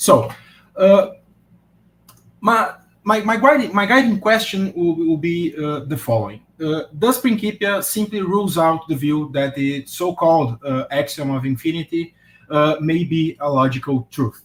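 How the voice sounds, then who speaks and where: A man speaks with a non-native accent at a fairly slow pace. His pitch is high and his intonation lively. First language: not English. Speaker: philosophy academic, conference speaker. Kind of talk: academic lecture. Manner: halting, many fillers and repetitions.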